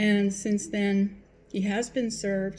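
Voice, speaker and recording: At a fairly slow pace, a woman speaks in a medium pitch, somewhat breathy, with a dark, mellow tone and monotone, flat intonation. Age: 60s. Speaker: vlogger. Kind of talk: personal vlog monologue. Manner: hesitant, with fillers.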